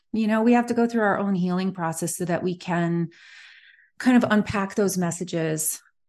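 A woman with an unremarkable speaking voice talks at a moderate pace and a medium pitch, with ordinary pitch variation, against a quiet background. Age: 40s. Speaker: magazine publisher and editor. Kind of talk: casual interview chat.

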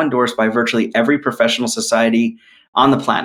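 The speaker has an American accent and ordinary pitch variation. It is a normal speaking voice. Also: man. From New York. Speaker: cardiologist. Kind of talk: interview on podcast.

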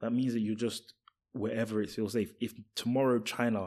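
Recorded very cleanly against a silent background, the voice has a dark, mellow tone and moves at a fairly quick pace. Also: man. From UK. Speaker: podcast host. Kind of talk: casual chat.

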